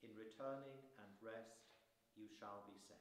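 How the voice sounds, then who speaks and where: With audible room echo around him, a man speaks at a fairly slow pace in a monotone, flat intonation. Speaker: lay reader. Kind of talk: reading aloud. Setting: church. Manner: halting. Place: church. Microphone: camera far.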